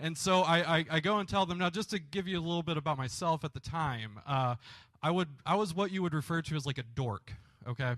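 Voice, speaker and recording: Against a quiet background, a man talks at a fairly quick pace with a fairly high pitch and ordinary pitch variation. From Michigan (Grand Rapids), moved to Kentucky at 12-13. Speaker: pastor. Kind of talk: testimony. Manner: casual, hesitant with many fillers.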